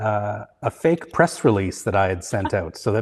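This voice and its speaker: Somewhat breathy and fairly low in pitch, a man talks with a Canadian accent. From Canada (Vancouver). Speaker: materials designer, company founder. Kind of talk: interview.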